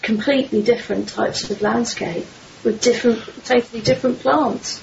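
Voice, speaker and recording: A woman's fairly high voice carries through noticeable noise in the background. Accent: English. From London, southern England. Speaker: magazine publisher. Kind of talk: interview.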